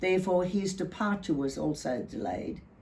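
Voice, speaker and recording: A woman with an Australian accent talks at a moderate pace in a medium pitch with lively intonation. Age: 80s+. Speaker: war widow's daughter recalling family history. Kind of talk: personal recollection, oral history.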